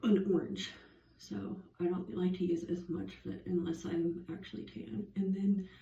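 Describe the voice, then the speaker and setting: A woman speaks in a fairly low, dark and mellow voice with vocal fry. Her intonation is lively, and the room echo is audible. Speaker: beauty vlogger. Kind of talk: makeup tutorial. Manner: casual, filler-heavy.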